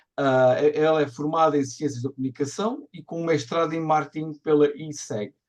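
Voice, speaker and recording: Speaking with a European Portuguese accent, a man uses a fairly high pitch and fairly even intonation. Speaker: community co-host. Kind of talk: event introduction. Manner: fast.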